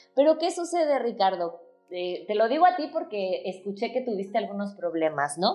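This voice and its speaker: A woman speaks with very wide swings in pitch. Music plays in the background. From Mexico. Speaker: former university professor. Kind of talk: casual interview chat.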